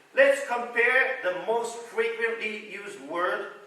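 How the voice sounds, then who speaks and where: A high-pitched man's raised, projected voice amid noticeable background noise. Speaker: rakugo storyteller. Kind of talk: comedy monologue intro to live audience.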